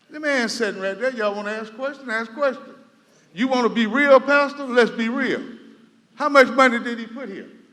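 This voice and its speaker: A man with an American accent projects a raised, extremely high-pitched voice at a fairly quick pace, with big swings in loudness and audible room echo. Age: 60s. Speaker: resident speaking at public meeting. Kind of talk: public comment at town hall. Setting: community center meeting hall. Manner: animated.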